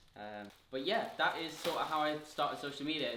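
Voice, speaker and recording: A man with a Geordie accent talks at a moderate pace in a bright, sharp tone. Audible room echo surrounds his voice. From northern England, Newcastle. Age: 20s. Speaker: fitness influencer. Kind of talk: casual Q&A vlog. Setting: home kitchen. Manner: chatty, filler-heavy.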